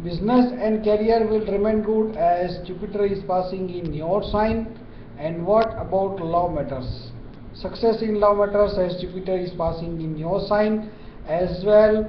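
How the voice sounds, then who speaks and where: Light background noise and audible room echo accompany a man speaking fairly slowly at a high pitch. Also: ordinary pitch variation. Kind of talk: horoscope forecast talk. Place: office. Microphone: webcam.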